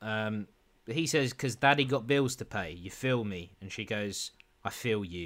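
An unforced reading voice is heard. Pitch variation stays ordinary.

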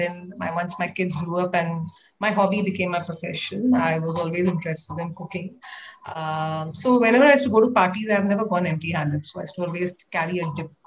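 A woman with a fairly low pitch speaks at a fairly quick pace, somewhat breathy, with ordinary pitch variation. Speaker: homemaker and NGO volunteer teacher. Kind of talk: casual chat.

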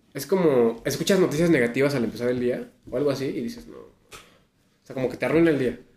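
A man with a Mexican accent talks at a very fast pace and a fairly high pitch. His loudness swings widely while his pitch varies in an ordinary way. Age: 40s. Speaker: podcast co-host. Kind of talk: casual chat.

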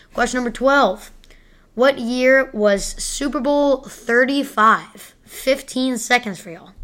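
A woman speaks in a high pitch with a playful tone at a very slow pace. Her loudness swings a great deal. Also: ordinary pitch variation. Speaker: podcast host. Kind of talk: sports trivia quiz. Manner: playful, joking.

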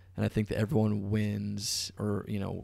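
An American accent with vocal fry, on a very clean recording with a silent background. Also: man. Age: 20s. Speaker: filmmaker and content creator. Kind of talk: casual chat.

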